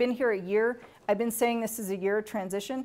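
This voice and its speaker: A woman's plain, everyday voice at a fairly high pitch, moderate pace and ordinary pitch variation. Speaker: university grants administrator presenting a workshop. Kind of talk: training workshop presentation.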